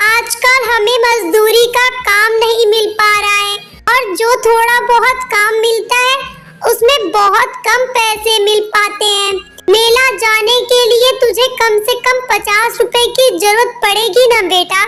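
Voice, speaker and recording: A woman's cartoonish character voice, extremely high in pitch, monotone and flat, with very even loudness at a fairly slow pace over loud background noise. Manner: warm, motherly.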